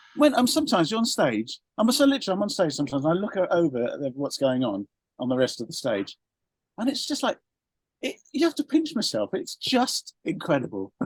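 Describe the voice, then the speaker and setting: A man talking at a very fast pace, with a dry, close sound and no echo. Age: 60s. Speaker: rock band member. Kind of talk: interview. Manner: animated, halting.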